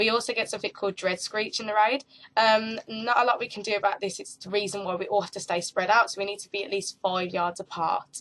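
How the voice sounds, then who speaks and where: A woman talks at a very fast pace at medium pitch, with hardly any pauses. Her intonation is fairly even, while her loudness swings widely. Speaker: raid leader / gamer. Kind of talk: game tactics tutorial talk to webcam.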